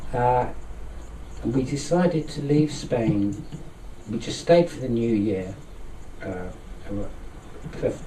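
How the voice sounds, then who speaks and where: Soft-spoken with a London accent, the voice has lively intonation and big swings in loudness, moving at a very slow pace with long, frequent pauses, audible room echo, and noticeable background noise. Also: man, medium pitch for a man. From London, England. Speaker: occult society president. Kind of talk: interview. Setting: studio with microphones.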